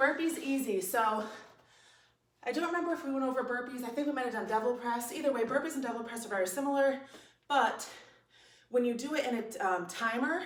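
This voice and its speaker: Very fast speech with long, frequent pauses, ordinary pitch variation and audible room echo. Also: woman, high pitch for a woman. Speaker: fitness instructor. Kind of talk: tutorial. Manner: casual, conversational.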